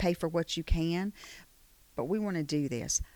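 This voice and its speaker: Lively intonation carries an Alabama accent in a very clean recording with a silent background. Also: woman. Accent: Southern US (Alabama). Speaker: economic development manager. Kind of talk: interview.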